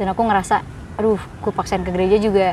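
A woman speaks with monotone, flat intonation over noticeable background noise. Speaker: singer in a band. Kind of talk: casual chat.

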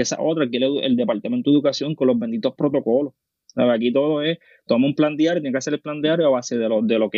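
With a Puerto Rican accent, a man talks at a very fast pace. His pitch is medium, with ordinary pitch variation. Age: 20s. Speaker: nurse and teacher. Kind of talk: casual chat.

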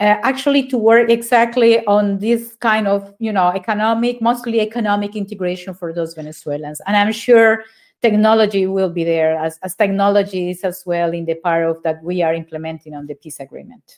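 A woman with a Spanish accent talks at a fairly quick pace with hardly any pauses, her medium pitch showing ordinary variation on a very clean recording with a silent background. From Colombia, Neiva (Huila). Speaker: ambassador. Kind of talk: interview.

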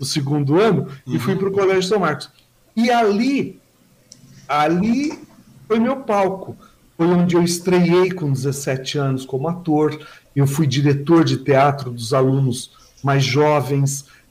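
With long, frequent pauses and a fairly slow pace, a man speaks at a fairly high pitch with lively intonation and a somewhat breathy sound. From Brazil, São Paulo state (Mogi das Cruzes). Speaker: journalist and social columnist. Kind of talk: casual interview.

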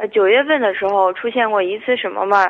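A woman talks. Her pitch is medium. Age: 20s. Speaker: radio call-in listener. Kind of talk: phone-in consultation. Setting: phone call. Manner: halting, many fillers.

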